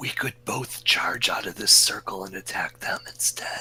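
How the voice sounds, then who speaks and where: In a put-on character voice, a man whispers raspily at a moderate pace, his loudness swinging widely. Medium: actual play.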